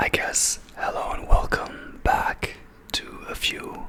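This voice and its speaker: Someone whispers in a German accent over noticeable background noise. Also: man. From Germany. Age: 30s. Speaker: ASMR creator. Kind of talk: ASMR video. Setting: on camera at home. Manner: whispering; hesitant, many fillers.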